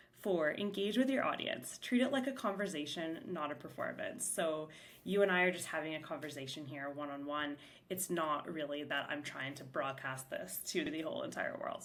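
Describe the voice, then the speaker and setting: A woman with a very deep, low pitch is heard with audible room echo. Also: lively intonation. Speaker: podcast host, salon owner and mentor. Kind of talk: solo podcast talk. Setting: back room of a shop. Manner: fast; casual, filler-heavy.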